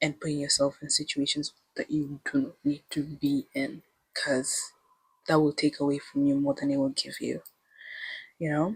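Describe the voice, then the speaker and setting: A woman with a non-native accent speaks at a moderate pace in a very deep, low voice that is somewhat breathy. The sound is dry and close, with no echo. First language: not English. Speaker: lifestyle vlogger. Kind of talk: casual vlog monologue. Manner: animated.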